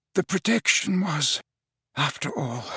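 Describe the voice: In a put-on character voice, a man speaks at a fairly high pitch, breathy, with a husky, rough edge, a bright, sharp tone and lively intonation. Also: fairly slow pace, dry, close sound with no echo.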